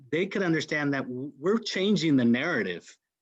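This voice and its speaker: Against a quiet background, a man with a Spanish accent speaks at a fairly high pitch with lively intonation. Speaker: panel host. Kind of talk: panel discussion.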